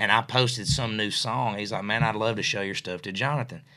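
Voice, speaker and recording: In a very clean recording with a silent background, a man speaks with a bright, sharp tone, medium pitch, ordinary pitch variation and a moderate pace. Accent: West Tennessee. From West Tennessee (Mercer, near Jackson). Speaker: singer-songwriter. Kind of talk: casual interview chat. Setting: studio.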